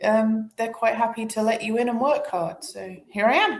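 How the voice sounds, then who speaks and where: A voice with a British accent, ordinary pitch variation and audible room echo. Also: woman. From Britain. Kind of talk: casual chat.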